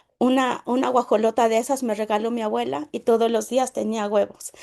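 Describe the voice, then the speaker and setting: Over a quiet background, a woman with a Mexican accent speaks at a moderate pace, her dark, mellow tone set at a fairly high pitch with ordinary variation. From Mexico, Puebla state (rural Nahuatl-speaking village). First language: Nahuatl (speaking Spanish). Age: 30s. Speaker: network marketing leader. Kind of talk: personal testimony. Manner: halting, with repetitions.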